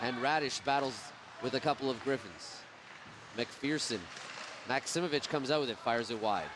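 A man at a moderate pace with long, frequent pauses and ordinary pitch variation, in a dry sound with no echo and noticeable background noise. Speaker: play-by-play commentator. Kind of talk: commentary. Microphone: headset.

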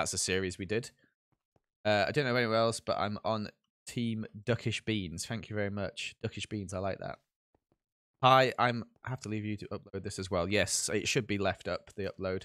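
In a very clean recording with a silent background, a man with an English accent talks at a moderate pace in a fairly low pitch, with fairly even intonation and long, frequent pauses. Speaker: gaming streamer. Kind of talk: live gaming chat. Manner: casual, chatty.

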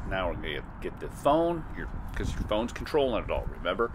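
A man speaks very rapidly while noticeable background noise runs underneath. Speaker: drone reviewer. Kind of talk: tutorial. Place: open country.

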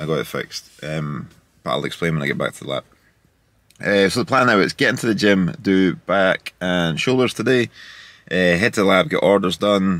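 Speaking at a moderate pace with long, frequent pauses, a man uses a very deep, low pitch in a dry recording with no echo. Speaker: vlogger. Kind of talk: casual vlog chat. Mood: upbeat, relaxed. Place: car. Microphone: phone near.

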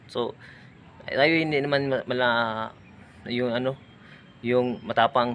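Speaking very slowly with long, frequent pauses, a man uses a medium-pitched voice and a Visayan accent. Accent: Visayan-accented Tagalog. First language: Cebuano (Bisaya) (speaking Tagalog). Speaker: vlogger. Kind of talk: casual vlog narration. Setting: outdoors at a cemetery.

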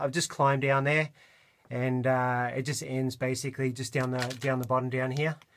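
A man's moderate-paced speech sits over a quiet background. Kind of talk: casual vlog commentary. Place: tunnel cave. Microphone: phone near.

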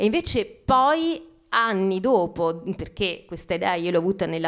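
The background stays quiet. Over it, a woman talks. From Calabria, southern Italy. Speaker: novelist; guest. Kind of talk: author talk. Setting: library event with audience. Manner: hesitant, repeats words. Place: hall. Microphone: handheld.

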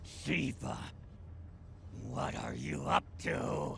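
In a cartoonish character voice, a man speaks at a very slow pace with a medium pitch, ordinary pitch variation and vocal fry.

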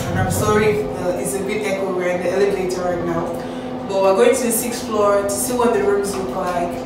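Amid loud background noise and audible room echo, a woman speaks at a moderate pace with ordinary pitch variation. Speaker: student vlogger. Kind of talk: casual vlog tour chat. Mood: cheerful, upbeat.

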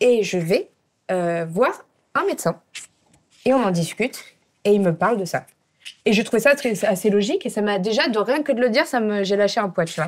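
Speaking at a moderate pace, a woman leaves long, frequent pauses. Her fairly high voice has lively intonation. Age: 30s. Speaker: YouTuber and brand founder; show host. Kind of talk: casual chat. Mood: relaxed, candid. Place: studio. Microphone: lapel.

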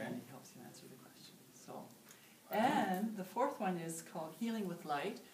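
A woman speaks with very wide pitch swings, audible room echo and light background noise. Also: moderate pace. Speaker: meditation teacher. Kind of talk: interview answer. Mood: warm, calm, friendly. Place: home room. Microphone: camera far.

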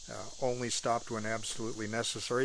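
Light background noise sits behind a man whose voice sounds dry with no echo. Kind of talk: casual vlog chat. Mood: warm, relaxed. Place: garden. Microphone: phone near.

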